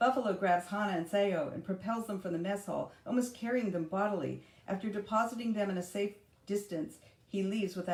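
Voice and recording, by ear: A person reads text out loud in a natural voice.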